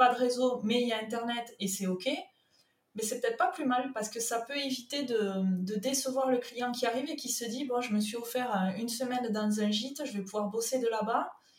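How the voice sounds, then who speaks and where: A woman with a southern French accent speaks at a fairly quick pace, her high voice moving with ordinary pitch variation. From southern France, Toulouse. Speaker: freelance content manager and web writer. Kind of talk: podcast interview.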